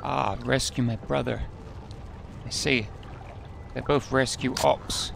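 A man speaks at a very slow pace with long, frequent pauses and a relaxed tone. The sound is dry with no echo, over light background noise. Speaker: video game let's player. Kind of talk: casual gameplay commentary. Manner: relaxed, chatty. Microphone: headset.

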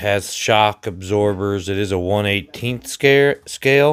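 The speaker is male. He talks at a very slow pace. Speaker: RC hobbyist reviewer. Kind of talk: casual unboxing narration. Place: kitchen. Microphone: phone near.

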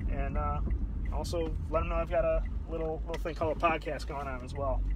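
A man's voice in dry sound with no echo, with noticeable background noise. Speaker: podcaster on a live stream. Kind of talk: casual vlog chat. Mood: relaxed, friendly. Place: car. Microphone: phone near.

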